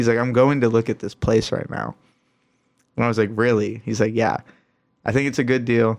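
A man speaks in a monotone, flat way at a medium pitch. He has an American accent, and the background is quiet. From Michigan. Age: 20s. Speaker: pro scooter rider. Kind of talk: casual chat.

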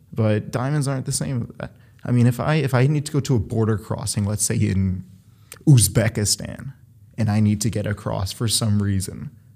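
This man speaks with an American accent at a moderate pace, his pitch fairly low with ordinary variation. His tone is dark and mellow and somewhat breathy. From Ohio, Cleveland area. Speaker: diamond dealer. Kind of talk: casual chat.

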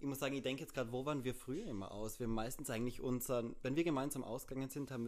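Medium pitch from a man, with ordinary pitch variation. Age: 20s. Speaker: podcast co-host, linguistics student. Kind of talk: casual chat.

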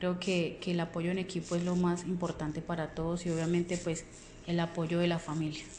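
A woman with a fairly low pitch talks at a fairly quick pace in a flat monotone, her loudness very even. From Colombia, Puerto Boyacá (Boyacá). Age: 30s. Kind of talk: self-introduction. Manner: hesitant, many fillers.

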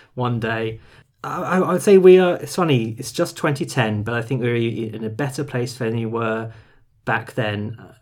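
With a British accent, a man speaks at a moderate pace and medium pitch, his pitch varying in an ordinary way. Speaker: film podcast co-host. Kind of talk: casual chat. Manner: mumbled diction.

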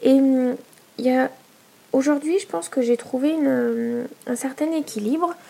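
At a fairly slow pace, a woman with a high pitch speaks with long, frequent pauses. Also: ordinary pitch variation. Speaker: podcaster and small business owner. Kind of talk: solo podcast monologue. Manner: hesitant, many fillers.

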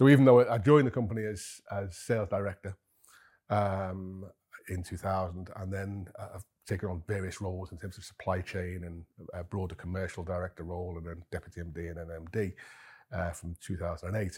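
Speaking at a fairly quick pace, a man with a very deep, low pitch sounds somewhat breathy, with fairly even intonation. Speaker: managing director, cheesemaker. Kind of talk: interview conversation. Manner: hesitant, many fillers.

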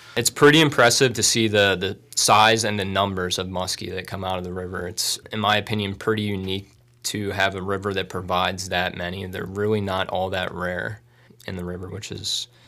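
Talking at a fairly quick pace, a man with an American accent uses a very deep, low voice with a bright, sharp tone and fairly even intonation. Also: very clean recording, silent background. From Bucks County, Pennsylvania. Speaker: waterways conservation officer. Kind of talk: radio interview.

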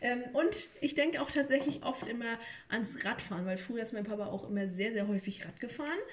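A woman's fairly high voice at a fairly quick pace, lively intonation, over noticeable background noise. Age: 20s. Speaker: podcast host, trained childcare worker. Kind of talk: casual chat while cooking. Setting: home kitchen.

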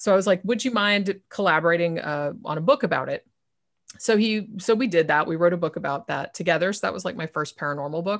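A woman's fairly low, enthusiastic voice at a very fast pace, ordinary pitch variation, very clean recording with a silent background. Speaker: author and podcaster. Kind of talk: casual interview.

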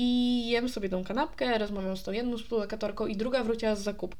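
With ordinary pitch variation, the woman speaks in a fairly high pitch. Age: 20s. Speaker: podcast host. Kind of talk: casual solo monologue. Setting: alone in her apartment. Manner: stream of consciousness, unplanned. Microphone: new USB microphone, distance unsure.

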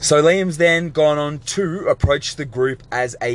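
A man's lively intonation over clearly audible background noise. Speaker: podcast host. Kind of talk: solo sports analysis podcast. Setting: in a car.

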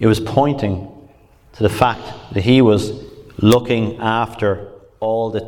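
The speaker is a man with a fairly slow pace. Audible echo fills the room. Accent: Irish. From Ireland. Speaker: pastor. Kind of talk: sermon.

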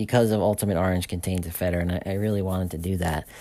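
A man speaks in a normal speaking voice, fairly low in pitch, with ordinary pitch variation. The recording is very clean, with a silent background. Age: 40s. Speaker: supplement company owner. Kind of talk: casual monologue podcast. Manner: informal, with many fillers and restarts.

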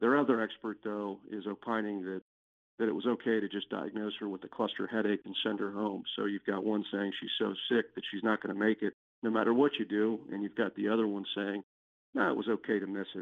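At a fairly quick pace, a speaker with an American accent talks in a plain, everyday voice. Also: man. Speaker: personal injury lawyer. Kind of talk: podcast interview.

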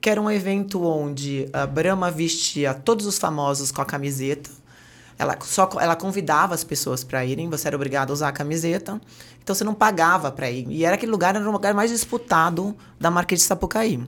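With lively intonation, a plain, everyday voice talks at a fairly quick pace. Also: woman, fairly low pitch for a woman. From Brazil, Santos (Baixada Santista). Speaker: entrepreneur, brand partnerships. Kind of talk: interview conversation.

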